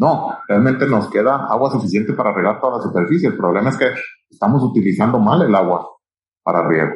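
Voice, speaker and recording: A man's medium-pitched voice, lively in intonation and very even in loudness, at a fairly quick pace with audible room echo. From Mexico, Sinaloa (Culiacán). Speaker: irrigation company executive. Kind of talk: interview. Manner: halting, frequent fillers and repetitions.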